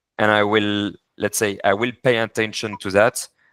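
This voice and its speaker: In a very clean recording with a silent background and a dry, close sound with no echo, a man with a French accent speaks at a fairly slow pace, his fairly low voice carrying a bright, sharp tone. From France. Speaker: corporate services advisor. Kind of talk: business meeting. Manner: halting.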